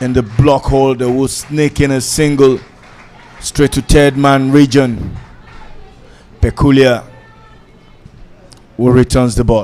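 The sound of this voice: A man speaks slowly at a medium pitch with a slightly mellow tone. His intonation is fairly even, and he leaves long, frequent pauses.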